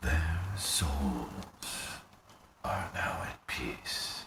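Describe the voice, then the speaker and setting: With a slight echo, a man performs a put-on character voice at a very deep, low pitch. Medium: video game. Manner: solemn, grave.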